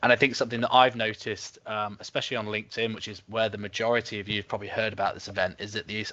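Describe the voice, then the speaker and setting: A man with an English accent talks at a very fast pace in a flat monotone. His pitch is fairly low and his tone is bright and sharp. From West London. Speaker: webinar host. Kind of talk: webinar talk. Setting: video call.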